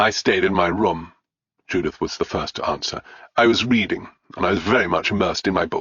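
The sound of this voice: Quiet background, unforced reading voice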